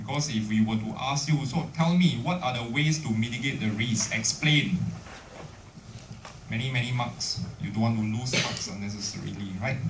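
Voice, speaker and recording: With noticeable background noise and audible room echo, a man with a Singaporean accent speaks at medium pitch with ordinary pitch variation. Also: moderate pace. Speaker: university lecturer. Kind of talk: lecture.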